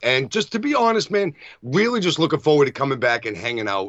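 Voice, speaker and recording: A man in a Boston accent at a fairly quick pace, with ordinary pitch variation. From Massachusetts. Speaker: wrestling podcast co-host. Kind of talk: casual chat.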